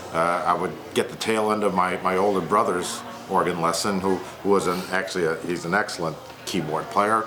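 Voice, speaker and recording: With music in the background and audible room echo, a man with an American accent speaks at a moderate pace in a very deep, low pitch and fairly even intonation. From McHenry, Illinois, US Midwest. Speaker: guitarist. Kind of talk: oral history interview.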